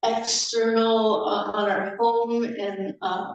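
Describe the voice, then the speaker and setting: Amid audible room echo, a woman speaks at a very slow pace with a fairly high pitch. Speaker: guest speaker at church service. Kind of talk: sermon.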